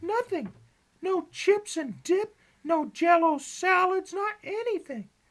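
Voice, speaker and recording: Speaking at a fairly slow pace, this female-sounding put-on character voice is squeaky and extremely high in pitch. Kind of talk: comic deadpan parody. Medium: comedy sketch. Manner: slangy, enthusiastic, echoing.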